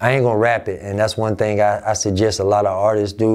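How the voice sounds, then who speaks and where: A man with a fairly low pitch and an American accent, at a fairly quick pace. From Albany, Georgia, US South; Georgia. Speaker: rapper; interviewee. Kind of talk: interview. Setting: office. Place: office.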